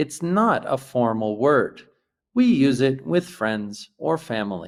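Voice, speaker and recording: A man with an American accent speaks at a very slow pace and a medium pitch. His pitch swings very widely. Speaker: English teacher. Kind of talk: English lesson to camera. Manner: slow, clear.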